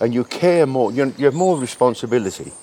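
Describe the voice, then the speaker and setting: Through noticeable background noise, a man speaks at medium pitch with very wide pitch swings. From London, England. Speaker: men's shed member. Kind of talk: casual interview chat. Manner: warm, chatty, happy.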